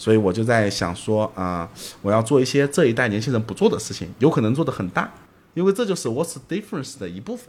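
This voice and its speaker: Very fast speech comes from a man with a medium pitch. His pitch swings very widely. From Zhejiang, China. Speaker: entrepreneur, company executive director. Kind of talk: casual interview conversation. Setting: late-night recording.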